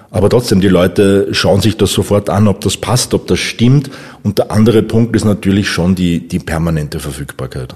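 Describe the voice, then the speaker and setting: With noticeable background noise behind him, a man talks in a fairly low voice with ordinary pitch variation. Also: moderate pace. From Upper Austria. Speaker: copywriter. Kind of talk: interview.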